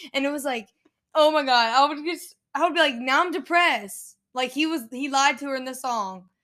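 A woman with a high, bright, sharp voice talks at a moderate pace, raised and projected, with lively intonation, on a very clean recording with a silent background. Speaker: podcast co-host. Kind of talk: casual chat. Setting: home bedroom. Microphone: new microphone, only one working.

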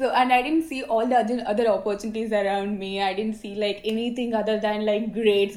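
A woman talks with an Indian accent. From South India. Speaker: university student. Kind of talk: interview. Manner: positive, sociable.

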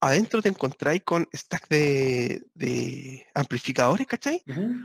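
A man with a Chilean accent speaks at a fairly slow pace, his pitch swinging very widely, in a dry, close recording with no echo. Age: 40s. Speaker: guitarist and entrepreneur. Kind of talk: casual chat. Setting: video call.

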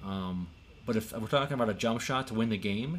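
This is an ordinary speaking voice from a man with a fairly low pitch. He goes at a fairly quick pace with ordinary pitch variation. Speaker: podcast host. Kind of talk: casual chat.

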